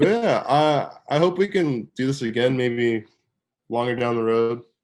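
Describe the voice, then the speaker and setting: Here is a man with an unremarkable speaking voice, medium in pitch. He talks at a fairly slow pace with ordinary pitch variation. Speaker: fine art photographer. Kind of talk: casual chat. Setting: video call.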